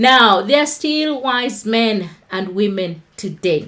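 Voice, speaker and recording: A woman with a Kenyan accent and ordinary pitch variation. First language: Kikuyu. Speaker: online talk show host. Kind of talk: livestream Bible talk.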